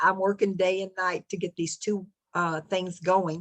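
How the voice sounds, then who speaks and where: This woman speaks with an American accent. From US South, south Texas. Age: 70s. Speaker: retired expat video creator. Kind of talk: interview.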